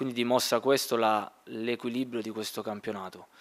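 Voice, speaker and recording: The pace is fairly quick. A man is the one talking. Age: 20s. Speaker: footballer. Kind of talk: press conference. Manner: halting. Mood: calm, measured. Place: meeting room. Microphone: podium.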